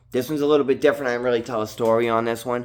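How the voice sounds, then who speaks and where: Speaking in a strong Boston accent, a man uses ordinary pitch variation. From Massachusetts, Haverhill (Boston area). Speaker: vlogger, former drug dealer sharing his past. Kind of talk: casual monologue vlog. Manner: rambling, casual slangy delivery.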